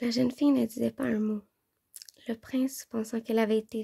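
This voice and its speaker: A woman's dark, mellow tone in a flat monotone, on a very clean recording with a silent background. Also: dry, close sound with no echo. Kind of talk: ASMR audiobook reading.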